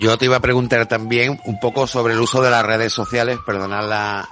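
Background noise is noticeable throughout. Over it, a man speaks fairly quickly. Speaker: radio host. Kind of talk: radio talk show.

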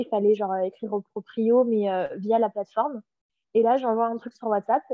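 A woman speaks in an ordinary speaking voice, her fairly high pitch held in fairly even intonation at a fairly quick pace. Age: 30s. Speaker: spiritual author. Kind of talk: casual interview.

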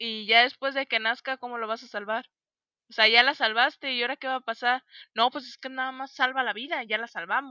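In a dry, close sound with no echo, a woman speaks at a high pitch in a bright, sharp tone with fairly even intonation. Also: fairly quick pace, big swings in loudness. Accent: Mexican. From Mexico. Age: 20s. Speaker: podcast co-host. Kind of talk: casual chat.

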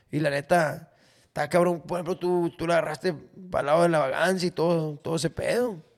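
Pitched high, a man speaks at a fairly quick pace. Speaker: podcast host, comedian. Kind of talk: casual chat. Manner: animated.

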